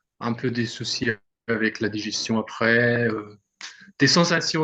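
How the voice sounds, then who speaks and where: Delivered at a very slow pace, the voice has a bright, sharp tone. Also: man. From Germany, Berlin. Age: 20s. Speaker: ultra-endurance cyclist. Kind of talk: casual interview. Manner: halting.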